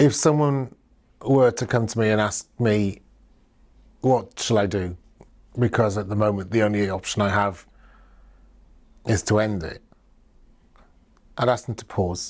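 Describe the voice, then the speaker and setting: Against a quiet background, a man speaks at a fairly slow pace with long, frequent pauses. His pitch is fairly low, with ordinary pitch variation. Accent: South Wales. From South Wales. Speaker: LGBT+ activist. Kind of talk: personal testimony. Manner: reflective, with hesitations.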